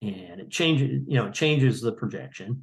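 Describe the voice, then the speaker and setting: Against a quiet background, a man talks at a moderate pace with vocal fry. His pitch swings very widely. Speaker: GIS trainer. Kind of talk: tutorial. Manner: halting, many fillers; mumbling.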